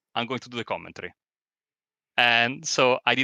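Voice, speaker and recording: With an Italian accent and a bright, sharp tone, a man speaks at a fairly quick pace, the sound dry and close with no echo on a very clean recording with a silent background. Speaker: sim racing commentator. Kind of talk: casual chat. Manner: halting.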